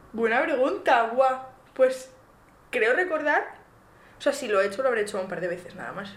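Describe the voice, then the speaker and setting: The speaker moves at a moderate pace with long, frequent pauses, very wide pitch swings and big swings in loudness. Room echo is audible. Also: woman, high pitch for a woman. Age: 20s. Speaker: podcast co-host, nursing student. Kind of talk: casual chat.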